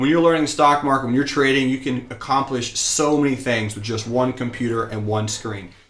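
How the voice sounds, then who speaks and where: In an energetic, enthusiastic tone, a man with an American accent and fairly high pitch speaks with audible room echo. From US South (rural Georgia). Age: 20s. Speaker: stock trading teacher. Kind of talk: live-streamed class. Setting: live broadcast at home desk.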